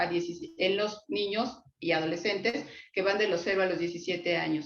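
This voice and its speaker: A woman at a moderate pace with ordinary pitch variation, amid noticeable background noise and audible room echo. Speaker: psychologist lecturer. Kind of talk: lecture. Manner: halting, many fillers.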